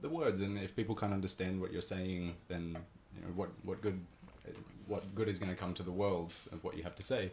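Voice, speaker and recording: A man with an Australian accent talks at a fairly quick pace in a very deep, low voice. His delivery is somewhat breathy, and his intonation stays fairly even. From Australia, Canberra. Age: 20s. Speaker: barista and coffee roaster. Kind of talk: radio interview. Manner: hesitant, many fillers.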